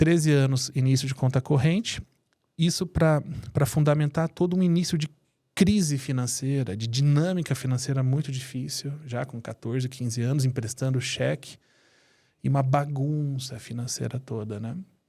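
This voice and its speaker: Somewhat breathy and dark, mellow in tone, a man speaks at a moderate pace with a medium pitch. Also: ordinary pitch variation, very clean recording, silent background. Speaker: family constellation therapist and entrepreneur. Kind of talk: interview storytelling. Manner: animated.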